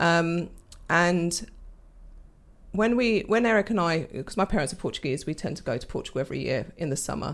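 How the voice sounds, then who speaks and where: A woman with a fairly low pitch speaks at a fairly quick pace with lively intonation and long, frequent pauses, on a very clean recording with a silent background. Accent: London. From London. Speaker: entrepreneur. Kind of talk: casual interview.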